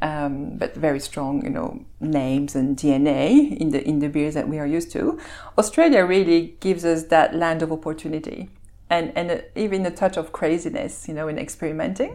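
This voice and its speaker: Speaking with a Belgian accent, a woman has a fairly low pitch and a dark, mellow tone. Her intonation is lively and her pace moderate. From Belgium. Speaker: malting company executive. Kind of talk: interview. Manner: articulate.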